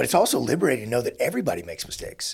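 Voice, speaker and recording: This man's medium-pitched voice is somewhat breathy. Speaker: podcast host and former SEAL leader. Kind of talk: interview conversation.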